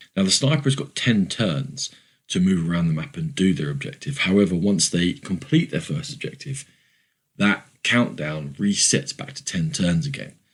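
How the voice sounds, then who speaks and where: Speaking at a moderate pace, a man with a fairly low pitch moves through very wide pitch swings. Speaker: podcast host. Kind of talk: review show monologue.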